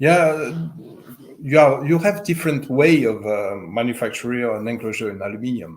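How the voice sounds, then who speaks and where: A man with a slight French accent speaks at a moderate pace and a medium pitch with lively intonation. Audible room echo surrounds his voice. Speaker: speaker manufacturer representative. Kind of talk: interview. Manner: halting, many fillers.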